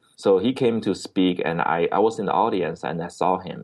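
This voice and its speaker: In a Chinese accent, a man speaks with a fairly low pitch. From China (Beijing). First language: Mandarin Chinese. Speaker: entrepreneur. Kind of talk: interview. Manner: halting, with repeated words.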